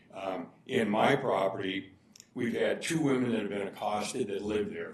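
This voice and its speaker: Amid audible room echo, a man with a fairly low pitch speaks at a moderate pace with ordinary pitch variation. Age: 70s. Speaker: public commenter at council meeting. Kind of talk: public comment. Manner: halting.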